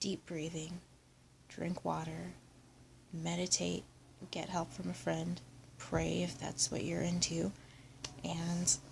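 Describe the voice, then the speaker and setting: A soft-spoken woman at a fairly slow pace. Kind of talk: ASMR soft-spoken vlog. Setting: lying down, handheld camera.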